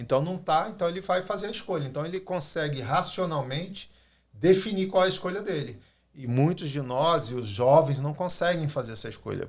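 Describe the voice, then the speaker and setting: Somewhat breathy, a man speaks at a moderate pace in a fairly high voice with lively intonation. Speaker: pastor. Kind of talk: podcast discussion. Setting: studio.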